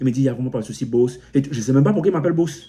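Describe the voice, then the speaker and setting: A man with an African accent speaks in a dark, mellow tone that is somewhat breathy. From Cameroon. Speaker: motivational YouTuber. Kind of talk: motivational vlog monologue. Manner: repetitive, halting with frequent self-restarts.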